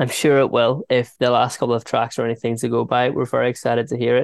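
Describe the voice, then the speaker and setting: Against a quiet background, a man with a Northern Irish accent and medium pitch talks very fast, in a dry, close sound with no echo. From Northern Ireland, Ballynahinch. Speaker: radio host. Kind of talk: interview.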